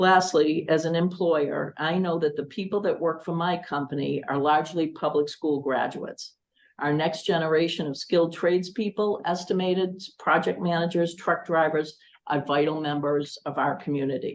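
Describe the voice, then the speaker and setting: A woman has a plain, everyday voice with an American accent, fairly low in pitch. She keeps a moderate pace and fairly even intonation. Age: 60s. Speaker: school committee candidate. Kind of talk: candidate forum statement. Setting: public forum. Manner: formal.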